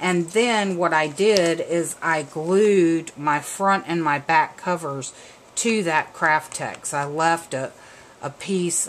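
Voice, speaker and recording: Speaking very slowly, a woman with an American accent uses a fairly low pitch and ordinary pitch variation. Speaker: craft video maker. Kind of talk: craft tutorial. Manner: casual, chatty with fillers.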